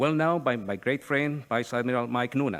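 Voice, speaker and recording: A man speaks with a Chilean Spanish accent at medium pitch and a moderate pace. His pitch variation is ordinary, and the recording is very clean with a silent background. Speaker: retired navy admiral, think tank speaker. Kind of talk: conference speech. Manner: formal.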